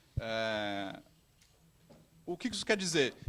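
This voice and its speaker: Very wide pitch swings mark this very slowly paced speech. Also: man. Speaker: conference speaker. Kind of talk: conference talk. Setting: stage with audience, streamed. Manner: halting, with fillers.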